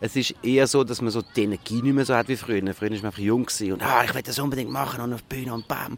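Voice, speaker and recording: Rushing at a very fast pace, a man of medium pitch keeps his intonation fairly even. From Switzerland, Zurich. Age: 40s. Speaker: musical performer. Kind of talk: interview. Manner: hesitant, many fillers.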